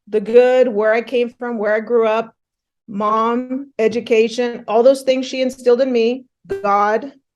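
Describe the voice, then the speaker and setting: In an unremarkable speaking voice, a woman with an American accent talks fairly slowly at a fairly high pitch, her intonation fairly even. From Northern California. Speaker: physician. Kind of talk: interview.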